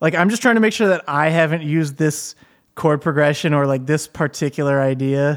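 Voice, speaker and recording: A man with an American accent and an ordinary speaking voice, fairly high in pitch, with ordinary pitch variation at a moderate pace, on a very clean recording with a silent background. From Michigan. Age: 30s. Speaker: podcast host and musician. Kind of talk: casual chat.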